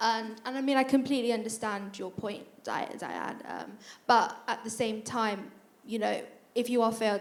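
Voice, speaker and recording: Audible room echo carries a woman's fairly high voice as she talks at a fairly quick pace with fairly even intonation. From northern England, County Durham. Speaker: university student, panellist. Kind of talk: panel discussion. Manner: hesitant, many repetitions.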